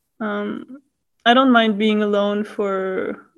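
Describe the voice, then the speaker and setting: A woman speaks with a German accent. Her pitch is medium. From Austria, Vienna. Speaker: master's student. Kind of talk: casual interview.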